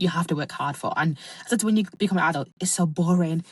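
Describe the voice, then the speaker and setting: Somewhat breathy and animated, a woman speaks at a medium pitch with ordinary pitch variation. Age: 20s. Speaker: podcast host. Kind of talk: casual monologue. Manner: fast.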